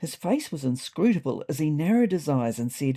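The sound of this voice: Her low-pitched voice has a dark, mellow tone, big pitch swings and a moderate pace.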